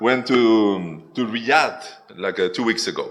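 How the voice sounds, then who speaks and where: There is audible room echo around a man's voice. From Spain. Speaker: software developer. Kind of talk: conference talk. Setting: stage with audience. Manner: halting.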